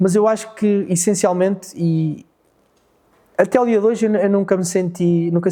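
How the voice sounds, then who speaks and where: The recording is very clean, with a silent background. A man speaks in a dark, mellow tone with fairly even intonation. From Portugal, Fafe. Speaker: rally co-driver. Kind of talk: interview.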